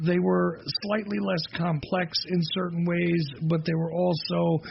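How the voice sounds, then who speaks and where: A man speaks at a high pitch with fairly even intonation and a fairly slow pace. There is noticeable background noise. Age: 40s. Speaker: radio host. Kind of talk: talk radio monologue.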